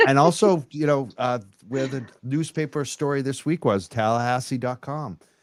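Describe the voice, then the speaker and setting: In a Northern US accent, a man speaks at a medium pitch. His pace is moderate and his pitch variation ordinary. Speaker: podcast host. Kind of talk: live podcast chat.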